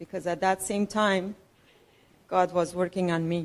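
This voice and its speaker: A woman speaks at a fairly slow pace with a Persian accent. Her pitch sits in the medium range. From Iran. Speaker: church member sharing testimony. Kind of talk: testimony.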